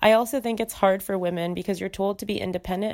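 In a very clean recording with a silent background, a woman of medium pitch talks very fast with an American accent and fairly even intonation. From US Midwest. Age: 20s. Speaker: guest sharing dating experiences. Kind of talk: recorded voice memo, read essay. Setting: voice memo recording.

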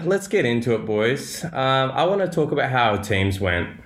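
The pitch swings very widely. Audible room echo surrounds the voice. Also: man, very even loudness. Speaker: fantasy football podcast host. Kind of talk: casual chat. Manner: animated.

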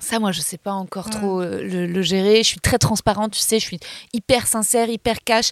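An ordinary speaking voice belongs to a woman at a medium pitch with fairly even intonation. She speaks at a fairly quick pace, in a dry, close sound with no echo. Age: 30s. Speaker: comedian and actress. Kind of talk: casual chat.

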